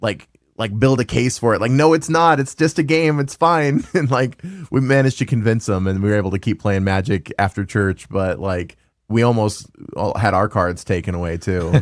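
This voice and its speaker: In an unremarkable speaking voice, a man with an American accent talks at a moderate pace and fairly low pitch with lively intonation, in a very clean recording with a silent background. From US South, Louisiana. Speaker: retro game store owner, podcast host. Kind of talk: casual chat.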